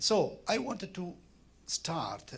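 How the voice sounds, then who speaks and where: A man speaks with an Italian accent. Audible room echo fills the recording. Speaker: art curator and critic. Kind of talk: lecture. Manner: halting.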